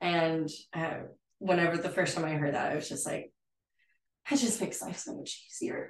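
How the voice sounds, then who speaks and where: A woman speaks with an American accent at a moderate pace. Her voice is somewhat breathy. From West Texas, San Angelo. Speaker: interior designer. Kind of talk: casual chat. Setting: at her home.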